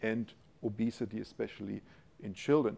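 Dark and mellow in tone, a man speaks in a German accent with ordinary pitch variation. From Germany. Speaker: university professor, molecular biochemist. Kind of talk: scientific lecture with Q&A. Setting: lecture hall with audience. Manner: informal, humorous. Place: hall.

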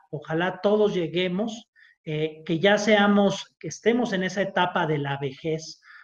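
A man at a fairly slow pace with ordinary pitch variation, audible room echo and a quiet background. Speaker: remote guest. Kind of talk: interview answer. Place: home room. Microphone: video call.

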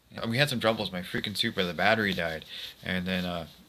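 Over noticeable background noise, a man speaks at a very deep, low pitch with fairly even intonation. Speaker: car hobbyist vlogger. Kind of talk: casual vlog chat. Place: home room. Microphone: phone near.

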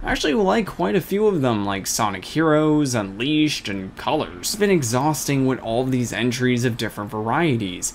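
Very wide pitch swings at a moderate pace. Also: man, medium pitch for a man. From Russia. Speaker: gaming video commentator. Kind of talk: scripted commentary monologue.

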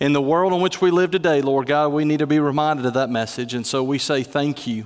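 Ordinary pitch variation from a male speaker, the background quiet. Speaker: pastor. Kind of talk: sermon. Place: church. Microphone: headset.

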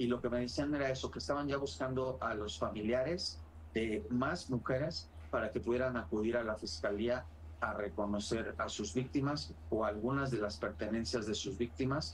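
This man speaks at a moderate pace with lively intonation. His pitch sits in the medium range. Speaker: crime journalist. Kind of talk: interview. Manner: formal. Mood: serious, somber.

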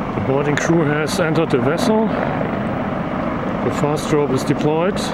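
Loud background noise sits under speech delivered at a fairly slow pace. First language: not English. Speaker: spotter filming a helicopter exercise. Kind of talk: live spoken commentary. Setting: outdoors. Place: street. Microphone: phone near.

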